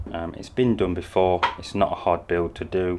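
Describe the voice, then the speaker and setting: Very deep and low in pitch, a man speaks with a British accent. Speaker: car upholstery vlogger. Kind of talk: vlog.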